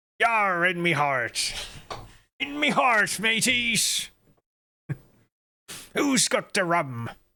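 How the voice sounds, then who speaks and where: Using a put-on character voice, a man speaks at a very slow pace in a high pitch, with very wide pitch swings and long, frequent pauses. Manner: boisterous, comic.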